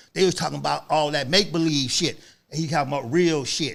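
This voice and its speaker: An animated man with lively intonation, in a very clean recording over a silent background. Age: 60s. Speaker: author and guest. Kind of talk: casual chat.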